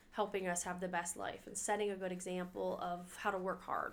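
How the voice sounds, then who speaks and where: A woman has an ordinary speaking voice at medium pitch. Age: 30s. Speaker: mother. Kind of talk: testimony.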